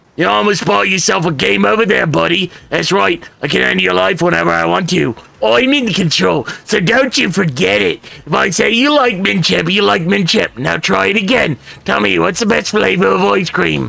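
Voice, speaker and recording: Using a put-on character voice, a man speaks at a moderate pace in a raspy, fairly high register. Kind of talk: comic sinister narration. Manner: menacing, bossy, sarcastic.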